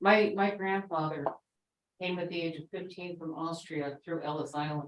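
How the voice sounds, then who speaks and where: At a moderate pace, a woman talks with fairly low pitch and fairly even intonation. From New York. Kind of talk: panel talk. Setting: classroom event with Zoom.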